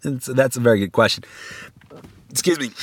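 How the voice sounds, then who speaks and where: In a dry, close recording with no echo, a man of medium pitch speaks with vocal fry and lively intonation. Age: 50s. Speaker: lecturer. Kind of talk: lecture. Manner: halting; repetitive filler-heavy.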